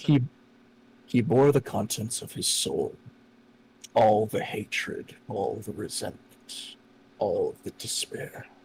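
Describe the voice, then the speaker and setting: A man performs a put-on character voice at a fairly slow pace. His loudness swings widely, with long, frequent pauses. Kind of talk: grave fantasy storytelling. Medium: virtual streamer. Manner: measured, solemn.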